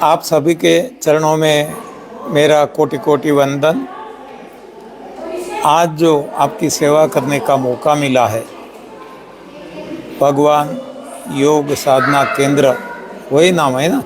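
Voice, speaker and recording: A man with a fairly high voice speaks at a very even loudness and with ordinary pitch variation, leaving long, frequent pauses, while audible room echo and noticeable background noise surround him. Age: 70s. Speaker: health system founder. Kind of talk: interview. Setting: live stream.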